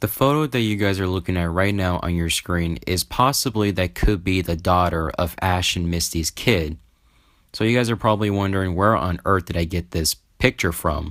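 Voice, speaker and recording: On a very clean recording with a silent background, a man speaks at a very deep, low pitch and a moderate pace with ordinary pitch variation. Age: young, around 19. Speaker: YouTuber discussing fan theory. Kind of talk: casual commentary video.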